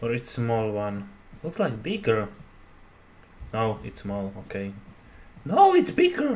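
A man talks at a very slow pace with long, frequent pauses and big swings in loudness. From Slovakia. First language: Slovak. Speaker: gamer YouTuber. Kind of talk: gameplay commentary. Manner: casual, profane, halting English. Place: home room.

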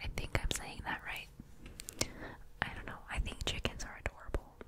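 Whispering comes from a woman. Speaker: ASMR creator. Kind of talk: ASMR whisper video. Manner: whispered, soft, casual. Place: home room. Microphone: studio mic.

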